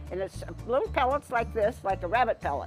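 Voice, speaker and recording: Over music in the background, a woman speaks at a moderate pace. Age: 80s+. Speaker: farmer. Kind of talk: interview answer.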